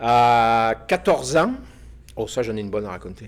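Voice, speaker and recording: A man with a plain, everyday voice is heard in a very clean recording with a silent background. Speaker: former mountain lodge owner, storyteller guest. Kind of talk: casual storytelling. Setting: recording with small live audience.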